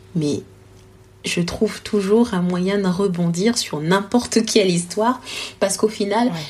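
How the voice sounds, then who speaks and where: On a very clean recording with a silent background, a somewhat breathy woman speaks at a fairly slow pace and medium pitch with ordinary pitch variation and long, frequent pauses. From Congo. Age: 20s. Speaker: storytelling consultant and entrepreneur. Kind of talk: interview. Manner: hesitant, many fillers.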